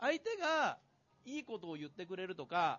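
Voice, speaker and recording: Using very wide pitch swings, a man talks at a fairly quick pace in a high voice. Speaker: psychiatrist and author. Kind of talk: public talk event interview. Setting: stage with audience. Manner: casual.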